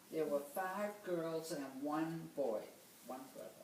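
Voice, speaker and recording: A woman speaks very slowly in a very deep, low voice with fairly even intonation. Noticeable background noise and audible room echo fill the recording. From Boston, Massachusetts. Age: 90s. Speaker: grandmother interviewed for oral history. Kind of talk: oral history interview.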